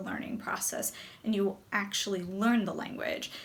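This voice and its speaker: Amid audible room echo, a woman with an American accent speaks in a somewhat breathy voice. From US, New Jersey. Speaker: English teacher and video creator. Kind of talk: educational talk to camera.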